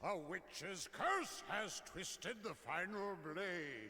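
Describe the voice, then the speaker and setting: Light background noise sits behind a man using a put-on character voice at a high pitch. He goes at a very slow pace with ordinary pitch variation. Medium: video game. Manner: fawning toward master, harsh to prisoner.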